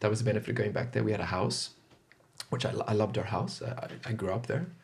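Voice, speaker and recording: Speaking at a very fast pace, a man with a fairly low pitch uses lively intonation over noticeable background noise. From Zimbabwe and Zambia. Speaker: podcast guest. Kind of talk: casual interview chat.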